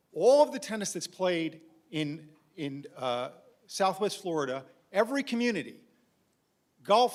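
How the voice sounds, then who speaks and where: With a New York accent, the voice moves at a fairly slow pace, animated in tone and lively in intonation. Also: man. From New York City (Manhattan). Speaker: community resident speaking at board meeting. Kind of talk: public comment at meeting. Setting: board meeting room. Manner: animated, insistent.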